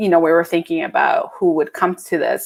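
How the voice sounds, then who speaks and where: A woman with a Spanish accent speaks at a fairly quick pace. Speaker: visual artist. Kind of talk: panel conversation. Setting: live-streamed video call.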